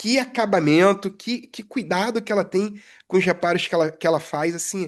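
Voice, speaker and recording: Against a quiet background, a woman talks at a moderate pace and medium pitch with ordinary pitch variation, in an unremarkable speaking voice. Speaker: aircraft structures technician, podcast co-host. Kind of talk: casual chat.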